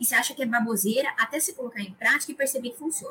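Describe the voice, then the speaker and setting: Here a woman speaks in a high pitch. Her intonation is lively. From Brazil, interior of São Paulo state (Araras). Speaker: university entrance exam top scorer, future medical student. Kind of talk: casual interview.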